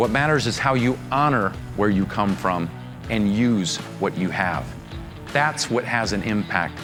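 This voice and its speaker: Music plays in the background. Over it, a man with an American accent speaks in an energetic tone. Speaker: motivational keynote speaker. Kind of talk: keynote speech to live audience. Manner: dynamic, energetic.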